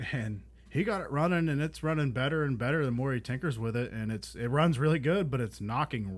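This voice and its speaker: A man talks at a moderate pace in a medium pitch, with ordinary pitch variation and an ordinary speaking voice. The recording is very clean, with a silent background. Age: 20s. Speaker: podcast co-host, car enthusiast. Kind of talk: casual chat.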